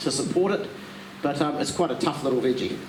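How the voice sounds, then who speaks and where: A man with a New Zealand accent speaks at a fairly high pitch with ordinary pitch variation. Audible room echo and noticeable background noise fill the recording. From New Zealand, South Island. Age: 60s. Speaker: garden centre workshop presenter. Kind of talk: workshop talk to audience. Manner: halting, many fillers.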